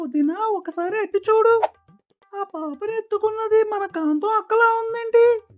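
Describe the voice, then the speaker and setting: In a cartoonish character voice, a woman speaks at an extremely high pitch. Her pace is moderate, with faint music in the background. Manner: chatty, gossipy.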